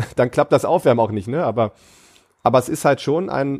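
This man talks at a fairly high pitch. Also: very clean recording, silent background. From Germany, Ratingen near Düsseldorf. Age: 20s. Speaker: powerlifter. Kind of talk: casual chat. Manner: filler words, animated.

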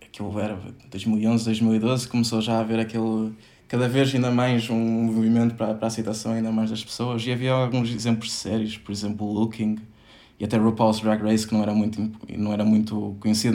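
Monotone, flat intonation marks this man's speech. There is audible room echo. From northern Portugal. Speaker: podcast guest. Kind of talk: casual interview.

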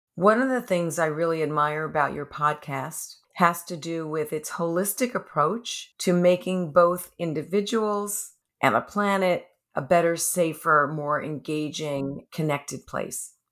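A woman's unremarkable speaking voice with an American accent, fairly low and fairly slow, with ordinary pitch variation on a very clean recording with a silent background. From New York City. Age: 60s. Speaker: life coach and gerontologist. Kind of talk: interview.

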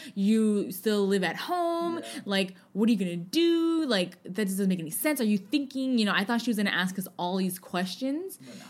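With an American accent, the somewhat breathy voice moves through very wide pitch swings and big shifts in loudness. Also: woman, medium pitch for a woman, moderate pace. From US West Coast, San Francisco. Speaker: podcast co-host. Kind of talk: casual chat.

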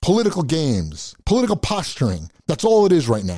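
Speaking in a furious tone, a man with an American accent uses a fairly high pitch with very wide pitch swings. His moderately paced, somewhat breathy voice comes through in a very clean recording with a silent background. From United States. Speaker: YouTube show host. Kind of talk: angry political rant addressed directly at lawmakers. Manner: furious, exasperated, berating with repeated hammering phrases; emphatic and pleading, stumbling over words in agitation.

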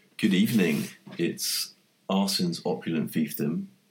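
Here a man with a London accent talks at a moderate pace. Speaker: podcast host. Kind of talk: casual chat.

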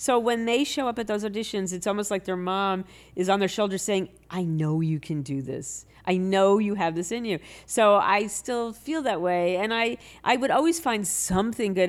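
A woman's plain, everyday voice at a medium pitch and a moderate pace, with lively intonation, in a very clean recording with a silent background. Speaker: storyteller and writer. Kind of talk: casual interview chat.

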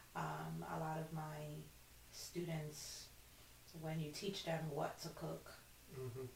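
Amid noticeable background noise and audible room echo, a woman with a Brooklyn accent speaks in a very deep, low pitch. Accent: New York (Brooklyn). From Brooklyn, New York (Flatbush). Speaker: wellness coach. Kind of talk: casual interview. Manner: halting, many fillers.

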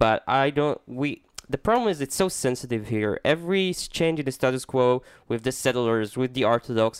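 Dry, close sound with no echo from a medium-pitched man with lively intonation and an Israeli accent. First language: Hebrew. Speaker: podcast co-host. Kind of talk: casual chat. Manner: playful, jokey.

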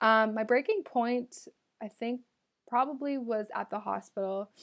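A woman speaks in a normal speaking voice at a fairly high pitch with ordinary pitch variation. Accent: Canadian. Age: 20s. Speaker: podcast host. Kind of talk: solo Q&A monologue.

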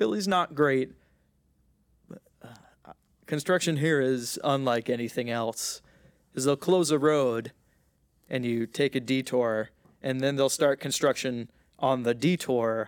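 Speaking at a fairly slow pace with long, frequent pauses, a man uses a medium pitch with ordinary variation, the sound dry and close with no echo. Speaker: podcast host. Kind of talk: casual chat.

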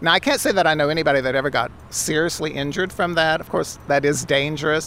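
Speech comes at a fairly quick pace. Noticeable background noise is present. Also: man. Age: 60s. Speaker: drag performer. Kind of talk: interview.

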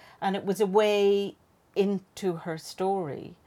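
A woman speaks with an Irish accent and a dark, mellow tone. The recording is very clean, with a silent background. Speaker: fiction writer. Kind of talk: casual chat.

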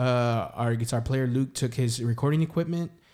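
A man with fairly even intonation, in a very clean recording with a silent background. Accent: San Antonio. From San Antonio, Texas. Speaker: singer-songwriter. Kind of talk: casual interview chat.

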